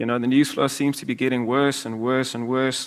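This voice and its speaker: This is a man speaking with a South African accent. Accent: South African (Afrikaans) English. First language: Afrikaans. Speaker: investment manager. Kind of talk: presentation to live audience.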